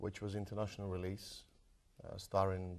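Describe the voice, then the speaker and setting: A man speaks with a British accent in a very deep, low pitch. His intonation is monotone and flat over a quiet background. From London, England (moved from Croatia at 12). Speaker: martial arts film actor. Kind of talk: interview. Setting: TV studio.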